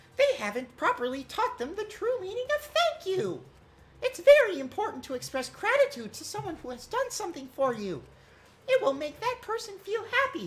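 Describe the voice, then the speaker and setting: A put-on character voice at an extremely high pitch, with very wide swings in pitch. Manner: smug, lecturing.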